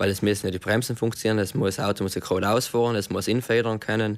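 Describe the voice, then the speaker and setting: A man speaks very fast at a fairly low pitch in a flat monotone. The recording is very clean, with a silent background. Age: 20s. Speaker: car mechatronics technician. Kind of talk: radio interview.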